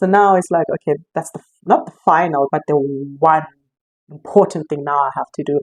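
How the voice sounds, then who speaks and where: A woman's fairly low voice, normal rise and fall in pitch, long and frequent pauses, dry close sound without echo. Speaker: intuitive life coach. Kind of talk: casual spiritual talk to camera. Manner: fast; halting, many restarts.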